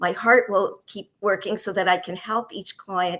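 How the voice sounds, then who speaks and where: A woman has a normal speaking voice at a medium pitch. She speaks at a moderate pace with fairly even intonation. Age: 60s. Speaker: divorce coach and author. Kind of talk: interview.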